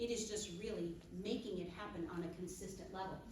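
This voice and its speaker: Talking at a fairly quick pace, a woman sounds animated, with ordinary pitch variation, audible room echo and noticeable background noise. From US Midwest, Wisconsin. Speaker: business trainer. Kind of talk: business training seminar. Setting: stage with audience, microphone. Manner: fast.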